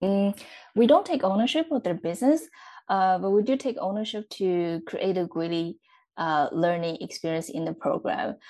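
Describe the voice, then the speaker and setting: Speaking in a Chinese accent, a woman uses lively intonation at a moderate pace. Her voice is medium in pitch with a dark, mellow tone. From central China. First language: Mandarin Chinese. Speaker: startup support specialist at a development agency. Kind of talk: interview. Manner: hesitant with many fillers.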